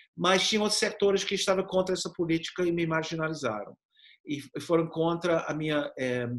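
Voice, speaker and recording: A man with a non-native accent speaks in a high pitch. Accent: foreign accent in Portuguese. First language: English (speaking Portuguese). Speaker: professor and activist. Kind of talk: interview. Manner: halting, with repetitions.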